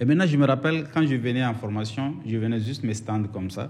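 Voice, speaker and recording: A man at a moderate pace with ordinary pitch variation, with audible room echo. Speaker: doctor and former soldier. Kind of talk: casual interview. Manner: halting.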